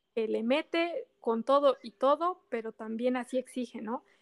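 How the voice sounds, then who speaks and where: Her voice high in pitch with ordinary pitch variation, a woman speaks at a fairly slow pace in a dry, close sound with no echo. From Mexico and Japan. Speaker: motorsport fan. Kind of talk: casual chat.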